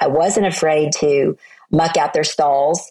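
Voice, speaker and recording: Speaking at a moderate pace with an American accent, a woman has a very deep, low voice with a dark, mellow tone. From US South, Oklahoma. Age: 60s. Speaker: motivational speaker and author. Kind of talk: interview.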